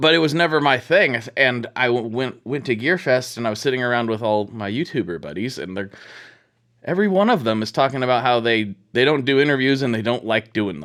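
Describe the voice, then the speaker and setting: A man at medium pitch with an unremarkable speaking voice, a fairly quick pace, lively intonation and a quiet background. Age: late 30s. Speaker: podcast host. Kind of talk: casual interview chat.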